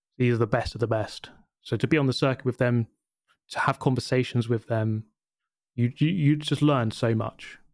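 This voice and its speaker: The voice moves at a moderate pace with fairly even intonation, very even loudness and long, frequent pauses, in a dry, close sound with no echo and a very clean recording with a silent background. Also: man, medium pitch for a man. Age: 30s. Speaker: YouTuber and sim racer. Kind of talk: interview.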